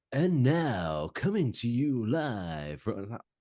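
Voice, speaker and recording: In a put-on character voice, a man talks very slowly at a medium pitch, his pitch swinging very widely. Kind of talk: broadcast announcer style. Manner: cheesy, exaggerated.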